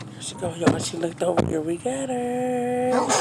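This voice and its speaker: Noticeable background noise and audible room echo around a woman's voice, her pitch swinging very widely. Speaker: vlogger. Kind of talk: casual vlog chat. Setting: in a car. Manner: whispering.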